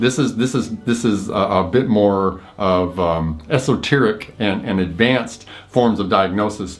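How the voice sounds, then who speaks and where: A man's fairly low voice at a fairly slow pace, with hardly any pauses and audible room echo. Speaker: Chinese medicine practitioner and teacher. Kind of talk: lecture. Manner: halting, with fillers and repetitions.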